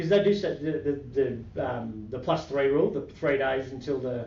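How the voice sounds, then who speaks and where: There is audible room echo around this man's voice. He speaks with an Australian accent, fairly high in pitch and somewhat breathy. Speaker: market commentary podcast host. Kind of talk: casual chat. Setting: podcast recording with webcam. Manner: fast; halting, many fillers.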